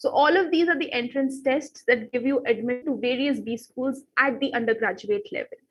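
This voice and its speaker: Her voice is high-pitched. This woman has an Indian accent. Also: ordinary pitch variation, fairly quick pace. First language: Hindi. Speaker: exam prep teacher. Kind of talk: live online class.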